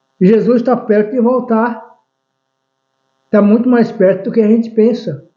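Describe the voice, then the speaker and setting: A man speaking at a fairly slow pace. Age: 70s. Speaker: lay preacher. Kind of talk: religious teaching monologue. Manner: halting, with many restarts.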